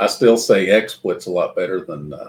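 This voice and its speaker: A fairly slow pace in a Kentucky accent. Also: man. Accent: Kentucky Southern US. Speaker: livestream host chatting with his mother. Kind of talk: casual live stream chat.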